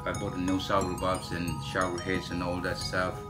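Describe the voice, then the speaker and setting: A man talks while clear music plays behind him. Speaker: home renovation vlogger. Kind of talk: casual vlog chat. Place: bathroom. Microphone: phone near.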